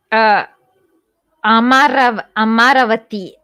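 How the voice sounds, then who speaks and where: With a Kannada accent, a woman speaks in a bright, sharp tone at a high pitch and with lively intonation. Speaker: live stream show host. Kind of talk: casual chat. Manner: halting, many fillers.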